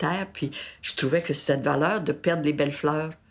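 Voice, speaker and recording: On a very clean recording with a silent background, a woman speaks in a very deep, low pitch with ordinary pitch variation. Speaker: retirement home resident. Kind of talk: testimony.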